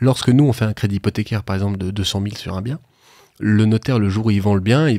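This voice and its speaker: Talking at a very fast pace, a man has a dark, mellow tone, a fairly low pitch and ordinary pitch variation. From France, Haute-Savoie. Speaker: financing consultant. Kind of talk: podcast interview, explaining. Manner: hesitant, many fillers.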